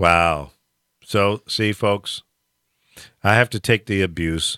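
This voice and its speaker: Recorded very cleanly with a silent background and a dry, close sound with no echo, a man with a bright, sharp tone and fairly low pitch speaks very slowly with ordinary pitch variation. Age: 60s. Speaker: radio talk show host. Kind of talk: casual banter on live talk radio. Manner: animated.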